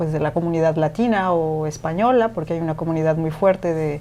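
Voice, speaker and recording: A woman speaks with a fairly low pitch and ordinary pitch variation. Her tone is dark and mellow. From Mexico. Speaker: radio presenter and podcaster. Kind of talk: interview conversation.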